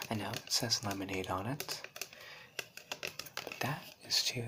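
Over loud background noise, a man speaks softly. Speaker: vlogger showing off objects. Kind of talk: casual vlog chat, mock-serious show and tell. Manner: soft close-up ASMR murmur. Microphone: phone near.

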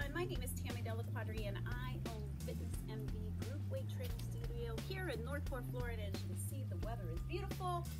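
Loud music plays in the background as a woman speaks at a fairly quick pace. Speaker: fitness instructor. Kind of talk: tutorial. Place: garden. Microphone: camera far.

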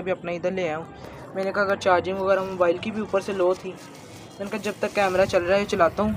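A man speaks at a fairly quick pace in a monotone, flat intonation over noticeable background noise. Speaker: bird keeper vlogger. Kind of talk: casual vlog chat. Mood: apologetic, a bit rushed. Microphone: phone near.

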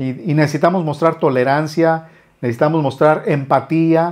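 Fairly high in pitch, this man has a normal speaking voice with fairly even intonation. He goes at a fairly slow pace, and the background is quiet. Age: 50s. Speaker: musician and YouTuber. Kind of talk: casual vlog monologue. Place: studio. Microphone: lapel.

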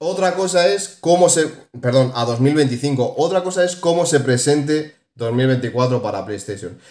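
A man with a Spanish accent, his voice fairly high-pitched, animated in tone and lively in intonation, against a quiet background with audible room echo. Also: fairly slow pace. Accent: Peninsular Spanish. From Spain. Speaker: gaming YouTuber. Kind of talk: casual video commentary. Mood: opinionated, mildly exasperated. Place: home room. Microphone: phone near.

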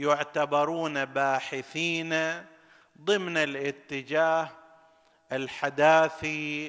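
A man speaking at a very slow pace against a quiet background. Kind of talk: sermon. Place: studio. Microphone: studio mic.

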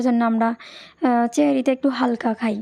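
Fairly high-pitched and slightly mellow, a woman's voice moves at a moderate pace.

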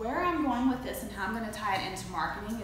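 Strong room echo surrounds a woman speaking at a fairly quick pace. Noticeable background noise runs underneath. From Floyd, Virginia, US. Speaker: marketing and web design presenter. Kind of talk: educational presentation. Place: meeting room. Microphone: camera far.

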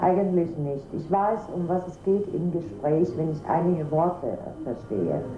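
Noticeable background noise sits behind a woman with a fairly low pitch. She speaks at a fairly slow pace with lively intonation. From Germany. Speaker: teacher's wife. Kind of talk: interview. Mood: calm, friendly.

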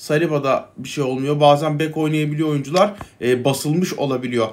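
Fairly quick pace from a man. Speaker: gaming YouTuber; gaming content creator. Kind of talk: gameplay commentary. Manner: casual, hesitant fillers. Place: home room.

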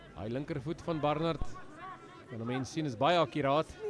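A man speaks with a South African accent and lively intonation. Noticeable background noise runs under his voice. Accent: South African Afrikaans-accented. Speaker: rugby match commentator. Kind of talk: live sports commentary. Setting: stadium, broadcast of a school rugby match.

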